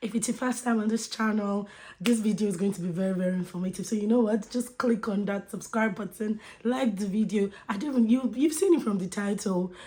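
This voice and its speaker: A woman's fairly high, somewhat breathy voice, animated in tone, with ordinary pitch variation at a fairly quick pace. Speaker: YouTube vlogger. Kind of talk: casual vlog chat.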